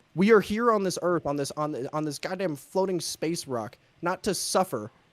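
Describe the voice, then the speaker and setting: With an American accent and lively intonation, a man speaks at a moderate pace and high pitch, in a dry, close sound with no echo. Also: very clean recording, silent background. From West Virginia. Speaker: leftist influencer. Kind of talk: heated debate. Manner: halting, repeats words; animated.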